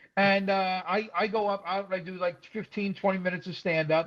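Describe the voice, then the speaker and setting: A man speaks with a New York accent. His pitch is high for a man. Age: 60s. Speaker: stand-up comedian. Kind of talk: casual chat. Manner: fast; animated.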